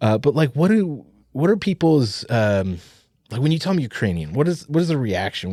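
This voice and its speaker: The recording is very clean, with a silent background. The voice has a dark, mellow tone and lively intonation at a fairly quick pace. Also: man. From Arizona, from Ohio as a child. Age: 40s. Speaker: podcast co-host. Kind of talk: casual chat. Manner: hesitant, many fillers.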